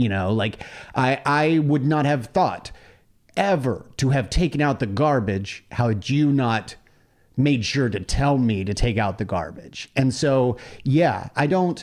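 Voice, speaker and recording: In a very clean recording with a silent background, a man with a normal speaking voice speaks fairly slowly at medium pitch with lively intonation. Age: 40s. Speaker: podcast host. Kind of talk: casual chat.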